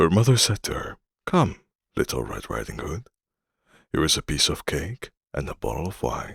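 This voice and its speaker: The speaker uses a calm tone with very wide pitch swings and vocal fry at a moderate pace, captured with a dry, close sound and no echo. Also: man. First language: not English. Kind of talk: bedtime story reading. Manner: calm, relaxing.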